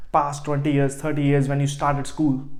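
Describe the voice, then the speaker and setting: A man's fairly high voice with an Indian accent and audible room echo. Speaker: online business coach. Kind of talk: motivational vlog. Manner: halting, frequent repetitions.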